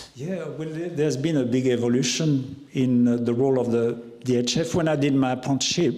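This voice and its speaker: Over noticeable background noise and audible room echo, a man talks fairly quickly at medium pitch with fairly even intonation. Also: hardly any pauses. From France, Loire Valley. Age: 60s. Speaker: chef. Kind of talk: talk Q&A with audience. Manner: halting, many repetitions.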